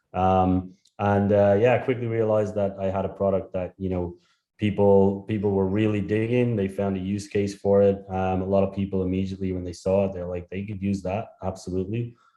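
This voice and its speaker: A man's fairly quick, monotone, flat delivery in a strong Irish accent, with a fairly low pitch and a dark, mellow tone against a quiet background. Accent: thick Irish. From Ireland. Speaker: startup founder. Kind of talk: interview.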